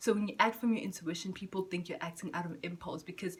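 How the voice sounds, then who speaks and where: A woman's medium-pitched voice at a very fast pace with fairly even intonation, against noticeable background noise. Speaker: spiritual vlogger. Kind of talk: casual vlog monologue. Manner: halting, stuttering.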